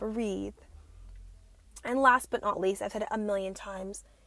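A woman is speaking. Her tone is animated. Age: 20s. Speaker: podcast host. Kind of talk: casual chat.

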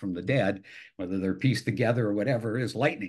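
A man with an American accent and a fairly low pitch, ordinary pitch variation, against a quiet background. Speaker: film director and screenwriter, band singer. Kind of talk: interview, casual chat.

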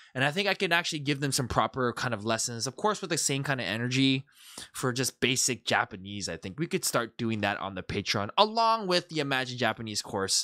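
An animated man's voice, medium in pitch, bright and sharp in tone, with very wide pitch swings, a fairly quick pace and a very clean recording with a silent background. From Canada. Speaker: YouTuber and TikTok comedy creator. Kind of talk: casual vlog monologue.

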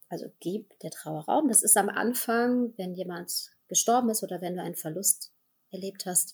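Her voice somewhat breathy, a woman speaks with ordinary pitch variation. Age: 30s. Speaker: healer and actress. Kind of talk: interview about grief.

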